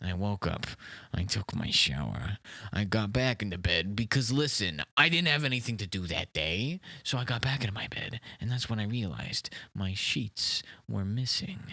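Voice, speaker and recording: Using a put-on character voice, a man speaks at a fairly low pitch with lively intonation and a moderate pace, in a dry, close sound with no echo on a very clean recording with a silent background. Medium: comedy sketch. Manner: rambling, defensive, repeats "listen" and "okay"; confidently absurd.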